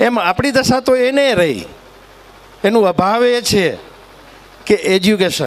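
A man with a high voice speaks at a very even volume, his pitch rising and falling in an ordinary way over noticeable background noise. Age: 60s. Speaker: former politician. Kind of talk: public speech.

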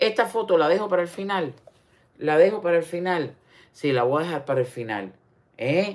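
A woman's animated tone and lively intonation at a fairly low pitch and moderate pace, broken by long, frequent pauses. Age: 60s. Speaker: online commentator. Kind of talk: casual livestream commentary. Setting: livestream. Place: home room. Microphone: phone near.

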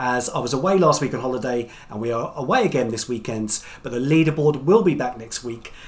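A man talks at a fairly quick clip, his pitch varying in an ordinary way. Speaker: quiz host. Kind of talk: quiz hosting. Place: home room.

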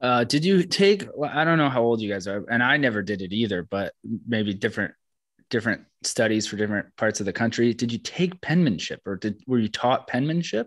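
A man in a plain, everyday voice with an American accent, medium pitch, lively intonation and a fairly quick pace over a quiet background. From Orlando, Florida. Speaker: podcast host. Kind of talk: casual chat.

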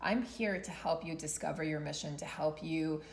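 A woman with an unremarkable speaking voice and a fairly low pitch, at a moderate pace. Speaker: tarot reader. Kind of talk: tarot reading vlog talk. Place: home room. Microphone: phone near.

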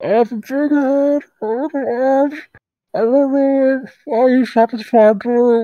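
Someone puts on a character voice with a high pitch and a very slow pace. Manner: comedic approximation.

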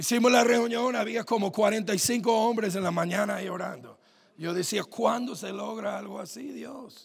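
A man with a high pitch sounds animated, using ordinary pitch variation and big swings in loudness at a fairly slow pace. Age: 30s. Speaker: pastor. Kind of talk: sermon. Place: church. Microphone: handheld.

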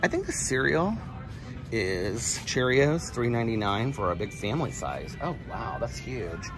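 There is music in the background as a man speaks. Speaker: vlogger. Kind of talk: casual vlog chat. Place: shop. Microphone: phone near.

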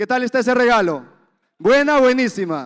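In an animated tone, a man speaks at an extremely high pitch over a quiet background. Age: 20s. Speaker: event emcee. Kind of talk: motivational event hosting. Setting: stage with audience. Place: hall. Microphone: handheld.

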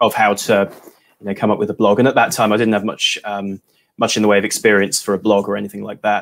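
Fairly low-pitched and flat in intonation, a man speaks very fast with an English accent. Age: 20s. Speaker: watch blogger and YouTuber; watch blogger, YouTuber. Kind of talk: casual livestream chat. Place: home room.

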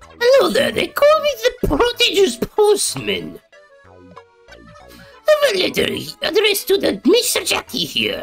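A put-on character voice at an extremely high pitch and a fairly slow pace, with faint music in the background. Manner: quirky, grandiose.

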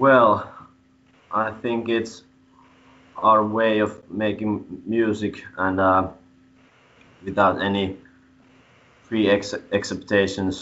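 A man with a Finnish accent, fairly low in pitch, monotone and flat, at a very slow pace with long, frequent pauses. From Finland. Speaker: metal band frontman; interviewee. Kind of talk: interview. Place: home room. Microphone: video call.

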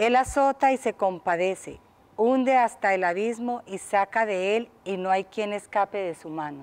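A woman talks at a fairly slow pace. Her voice sits at a medium pitch with ordinary pitch variation.

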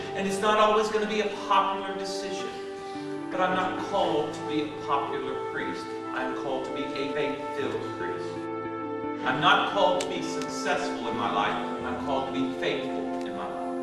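Long, frequent pauses break up the speech, with loud music in the background and audible room echo. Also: man. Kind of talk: sermon. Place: church.

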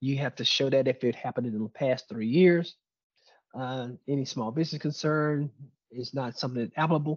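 The pace is fairly quick and the intonation fairly even. The sound is dry with no echo, over a quiet background. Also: man, medium pitch for a man. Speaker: presenter on US government contracting; presenter. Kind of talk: webinar presentation. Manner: fast. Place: office. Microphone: webcam.

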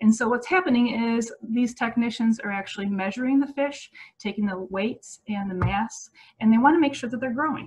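Her pace fairly quick, a woman talks with ordinary pitch variation. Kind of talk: online educational presentation. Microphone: webcam.

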